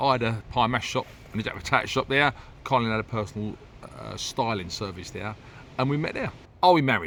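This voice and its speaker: A man's medium-pitched voice in a London accent, very fast yet broken by long, frequent pauses, with ordinary pitch variation. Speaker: podcast co-host. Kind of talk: casual chat.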